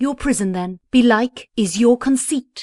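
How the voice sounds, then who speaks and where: A woman puts on a character voice, pitched high. She speaks at a fairly slow pace with ordinary pitch variation, in a dry, close sound with no echo. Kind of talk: Elizabethan verse drama. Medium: audio drama.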